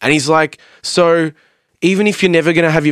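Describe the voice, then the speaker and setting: A man talks with an Australian accent. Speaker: metal band vocalist and music producer. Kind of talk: casual chat. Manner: animated.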